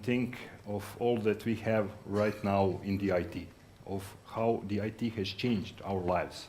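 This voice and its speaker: A man with a Croatian accent talks at a fairly slow pace with ordinary pitch variation. There is audible room echo. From Croatia, Zagreb. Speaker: sales executive. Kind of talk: conference talk. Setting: stage with audience. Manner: halting.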